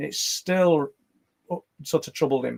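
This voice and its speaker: A man speaks with a Yorkshire accent. The sound is dry and close, with no echo. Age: 60s. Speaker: paranormal podcast co-host and claimed abductee. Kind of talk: casual podcast chat. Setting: live stream with chat. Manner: halting, repeats words.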